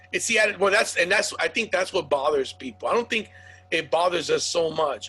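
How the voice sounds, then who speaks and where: Music plays behind a man speaking at a high pitch and a fairly quick pace. His loudness stays very even while his pitch varies in an ordinary way. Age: 40s. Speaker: podcast host and comedian. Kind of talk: casual chat.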